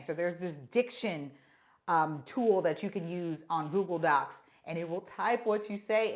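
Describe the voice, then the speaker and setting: A woman speaks loudly. The recording is very clean, with a silent background. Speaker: content creator and podcaster. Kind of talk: tutorial. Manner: casual, conversational.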